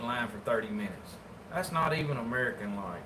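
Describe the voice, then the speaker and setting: Audible room echo and noticeable background noise surround a man talking at a very fast pace with a Southern US accent. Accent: Southern US rural. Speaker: taxidermist. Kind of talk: casual livestream chat while working. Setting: livestream. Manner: casual, colloquial.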